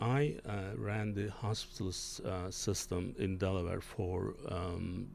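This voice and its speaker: Audible room echo surrounds a man with a non-native accent, whose fairly low pitch carries fairly even intonation. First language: not English. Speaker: physician and healthcare executive, show host. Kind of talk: interview discussion. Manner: halting, many fillers.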